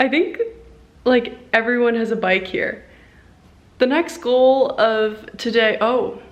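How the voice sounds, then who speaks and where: A woman with a high pitch and ordinary pitch variation speaks very slowly, with long, frequent pauses, over noticeable background noise. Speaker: professional swimmer vlogger. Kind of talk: casual travel vlog. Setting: airport.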